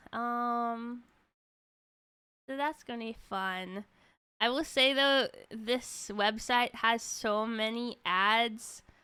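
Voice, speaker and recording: A woman with a bright, sharp, fairly high voice speaks very slowly. She takes long, frequent pauses on a very clean recording with a silent background. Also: fairly even intonation. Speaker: streamer. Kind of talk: casual livestream chat.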